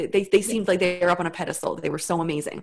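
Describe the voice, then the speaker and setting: With a normal speaking voice, a woman talks at a medium pitch that varies in an ordinary way. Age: 30s. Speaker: business coach. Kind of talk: casual chat. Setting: video call.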